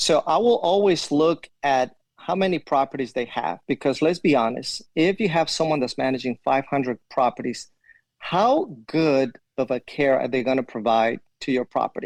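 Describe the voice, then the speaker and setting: This man has a fairly high pitch and lively intonation. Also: moderate pace, dry, close sound with no echo. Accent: Spanish. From Ecuador. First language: Spanish. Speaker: property manager, army veteran. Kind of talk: interview answer.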